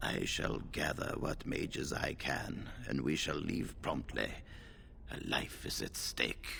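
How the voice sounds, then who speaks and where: A put-on character voice moves fairly slowly against clear background noise. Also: man. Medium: video game. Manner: measured, authoritative.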